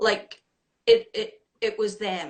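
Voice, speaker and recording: A woman with a Scottish accent speaks in a fairly high pitch. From Scotland. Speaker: women's shelter executive director. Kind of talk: interview.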